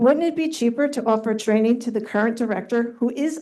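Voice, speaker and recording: The voice is soft-spoken with a dark, mellow tone, and audible room echo surrounds it. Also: woman. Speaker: resident speaking at public comment. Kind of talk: public comment at council meeting.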